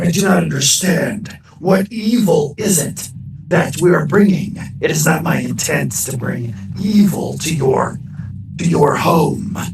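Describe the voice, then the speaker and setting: A man's put-on character voice, high in pitch, with lively intonation at a fairly slow pace over clear background noise. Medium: actual play. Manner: earnest, urgent.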